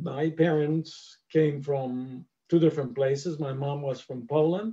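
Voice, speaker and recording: A man's somewhat breathy, dark, mellow voice with a fairly high pitch, at a fairly slow pace. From Cuba. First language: Spanish. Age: 70s. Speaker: historian and hotel owner. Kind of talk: lecture.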